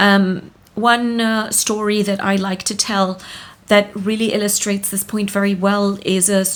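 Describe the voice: The speaker is doing plain reading aloud.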